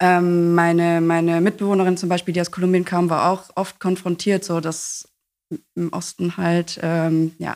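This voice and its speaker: The recording is very clean, with a silent background. A woman speaks at a fairly slow pace and fairly low pitch in a flat monotone. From East Belgium (German-speaking). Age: 20s. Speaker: youth party chair, communications officer. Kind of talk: casual interview.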